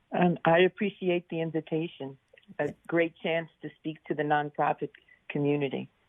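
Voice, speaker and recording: A woman with a New York accent speaks in a very deep, low pitch. Her intonation is fairly even and her pace moderate. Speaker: company founder and CEO. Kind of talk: interview.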